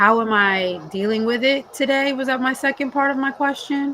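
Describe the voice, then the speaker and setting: A woman speaks in a raised, projected voice at a high pitch. Her pitch varies an ordinary amount. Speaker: panelist and community advocate. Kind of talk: panel discussion. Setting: livestream panel. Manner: slurred words at times.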